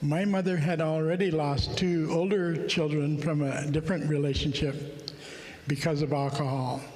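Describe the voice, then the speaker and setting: A man with a fairly high pitch talks fairly slowly and with fairly even intonation. The recording carries audible room echo and noticeable background noise. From Alaska. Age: 70s. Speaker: conference speaker. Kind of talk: personal testimony talk. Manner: halting, many fillers.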